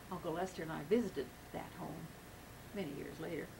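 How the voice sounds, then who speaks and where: Against noticeable background noise and audible room echo, a woman with an American accent talks at a fairly quick pace in a fairly low voice. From western Kansas, Thomas County. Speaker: interviewee recounting family history. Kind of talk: oral history interview. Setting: at home. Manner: halting, with fillers.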